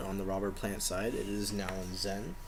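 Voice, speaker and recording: Soft-spoken male voice at a moderate pace with ordinary pitch variation. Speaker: collector showing his collection. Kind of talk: casual show-and-tell video.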